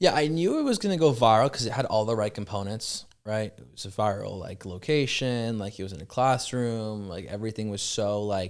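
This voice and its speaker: With a Californian accent, a man talks at a fairly quick pace with hardly any pauses and ordinary pitch variation, on a very clean recording with a silent background. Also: fairly low pitch for a man. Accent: Californian American. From Los Angeles area, US. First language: French. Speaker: startup founder. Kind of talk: casual interview chat. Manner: fast, filler-heavy speech.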